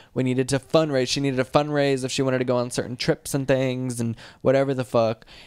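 Words come at a very fast pace. The sound is dry with no echo, over a quiet background. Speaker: podcast co-host. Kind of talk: casual chat. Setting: recorded video podcast. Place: home room. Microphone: studio mic.

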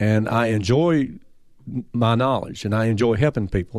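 The recording is very clean, set against total silence. A normal speaking voice goes at an average pace with typical pitch movement. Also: man. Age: 60s. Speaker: retired transmission shop owner. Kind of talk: casual interview. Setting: studio.

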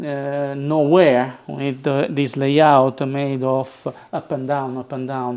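At a slow pace, a man talks with a slightly mellow tone and medium pitch.

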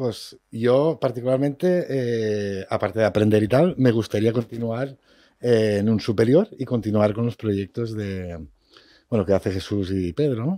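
A man speaks at a fairly slow pace in a dark, mellow tone with ordinary pitch variation. The sound is dry with no echo, over a quiet background. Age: 30s. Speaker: vocational student; guest. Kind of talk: radio interview. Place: studio. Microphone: studio mic.

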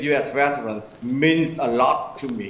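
With a Vietnamese accent, a man talks very slowly at a fairly high pitch, with light background noise and audible room echo. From Vietnam, Quang Tri province. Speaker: community manager; remote guest. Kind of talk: panel discussion; panel discussion answer. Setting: remote video link from Vietnam. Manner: halting. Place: home room. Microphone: video call.

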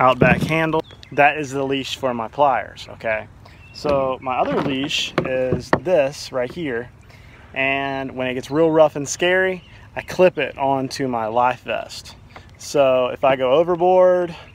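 A man talks at a fairly slow pace with ordinary pitch variation. The sound is dry with no echo, though background noise is noticeable. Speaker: kayak fishing vlogger. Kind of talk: casual vlog chat. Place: garden. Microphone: phone near.

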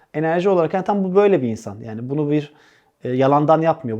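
Against a quiet background, a man with a dark, mellow tone speaks very fast at a fairly high pitch with ordinary pitch variation. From Turkey. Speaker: stand-up comedian. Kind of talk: interview.

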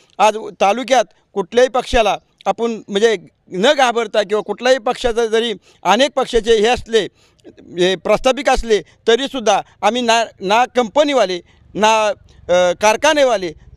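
High-pitched and very even in loudness, a man's voice comes through dry and close with no echo on a very clean recording with a silent background. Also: ordinary pitch variation. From Maharashtra, Patan taluka (Satara). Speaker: election candidate. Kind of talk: interview.

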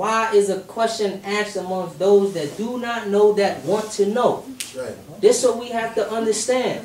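A man speaks in an animated tone at a high pitch with ordinary pitch variation and a moderate pace. Light background noise and audible room echo are present. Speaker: rally speaker. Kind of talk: rally speech, street-preacher style, driving home points with rhetorical questions. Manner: animated, emphatic, repeating "you know what I'm saying?" to pull the crowd in; fired-up, conversational, urgent, building through question after question. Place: hall. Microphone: camera far.

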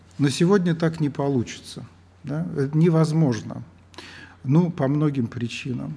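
A man speaks at a fairly slow pace in a fairly high voice, with long, frequent pauses. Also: ordinary pitch variation. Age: 60s. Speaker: lecturer. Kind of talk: lecture. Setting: lecture hall with audience. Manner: halting. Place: hall. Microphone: camera far.

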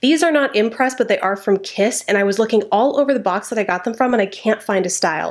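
A woman talks at a fairly quick pace with ordinary pitch variation. The background is quiet. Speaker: beauty vlogger. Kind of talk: tutorial. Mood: chatty and friendly. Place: home room.

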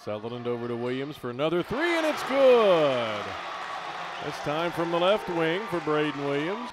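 A man's fairly high, animated voice at a moderate pace, with very wide pitch swings, dry sound with no echo and crowd noise in the background. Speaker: play-by-play announcer. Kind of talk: live sports commentary, play-by-play of college basketball highlights. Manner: animated, punchy calls on made threes and dunks. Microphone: headset.

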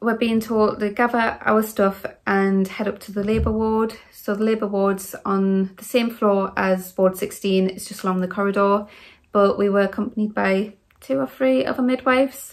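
A woman speaks at a moderate pace with ordinary pitch variation and big swings in loudness against a quiet background. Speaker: vlogger telling a birth story. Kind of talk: casual vlog storytelling. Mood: earnest, animated recollection. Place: home room. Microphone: phone near.

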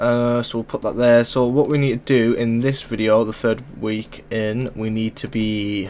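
Male voice at a medium pitch, fairly slow, slightly mellow in tone, with little pitch movement.

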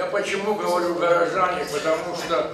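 In a room with audible echo, a man with a high voice speaks at a very slow pace in a flat monotone. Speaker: film industry figure. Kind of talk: speech at film screening. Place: hall.

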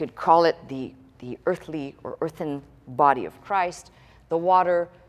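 A woman speaks in a plain, everyday voice at a fairly low pitch and a fairly slow pace. Her loudness swings widely, with ordinary pitch variation. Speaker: pastor teaching. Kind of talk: sermon. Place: church.

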